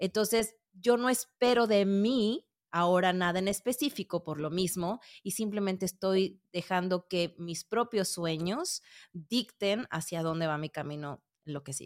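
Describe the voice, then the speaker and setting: Here is a woman with an unremarkable speaking voice, medium in pitch, using lively intonation at a fairly slow pace. The sound is dry and close with no echo, a very clean recording with a silent background. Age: 40s. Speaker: podcast producer. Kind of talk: interview.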